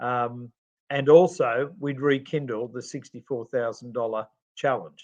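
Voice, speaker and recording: With an Australian accent, a man talks at a fairly slow pace with ordinary pitch variation. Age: 60s. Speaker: podcast co-host and charity CEO. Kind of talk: podcast interview. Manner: hesitant, many fillers.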